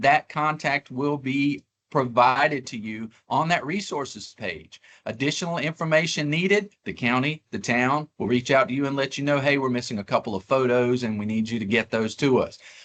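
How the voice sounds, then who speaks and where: A man's fairly high voice with lively intonation and hardly any pauses, in a dry, close sound with no echo. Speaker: government grant officer. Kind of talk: webinar presentation. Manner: fast.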